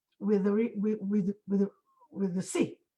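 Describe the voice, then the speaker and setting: The voice is a woman's, with a non-native accent. It has a somewhat breathy quality. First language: not English. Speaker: Torah teacher, conference panelist. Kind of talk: panel discussion. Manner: halting, many repetitions and fillers.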